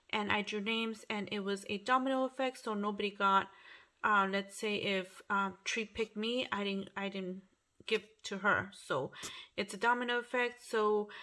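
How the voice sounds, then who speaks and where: Over a quiet background, a woman with a bright, sharp tone and fairly high pitch talks at a moderate pace with fairly even intonation. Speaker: craft YouTuber. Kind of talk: casual unboxing chat. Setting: at home at night. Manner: quiet, low volume; hesitant, many fillers. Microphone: phone near.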